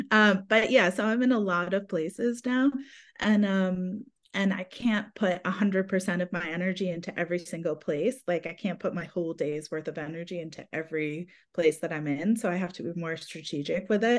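Against a quiet background, a woman is talking. Her pace is fairly quick. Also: medium pitch for a woman, ordinary pitch variation. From United States. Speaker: fantasy author. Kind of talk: casual interview chat.

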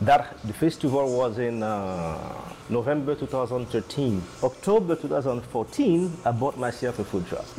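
A man with a medium-pitched voice talks at a fairly slow pace with lively intonation over noticeable background noise. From Haiti. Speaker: restaurant owner. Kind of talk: interview. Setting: on location in restaurant. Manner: halting.

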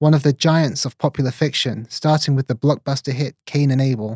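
At a fairly quick pace, a man with a dark, mellow, somewhat breathy tone speaks at a fairly high pitch with ordinary pitch variation, recorded dry and close with no echo. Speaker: podcast host and journalist. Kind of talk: interview with scripted intro.

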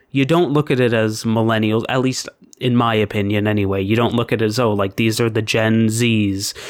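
A man with a plain, everyday voice talks at a fairly quick pace and medium pitch, keeping his intonation fairly even and his loudness very even. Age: 20s. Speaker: podcast co-host. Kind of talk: casual chat.

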